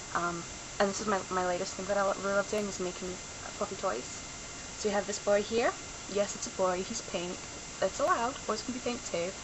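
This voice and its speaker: A woman's medium-pitched voice with long, frequent pauses over noticeable background noise. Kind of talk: casual talk to camera. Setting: home camera recording. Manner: rambling.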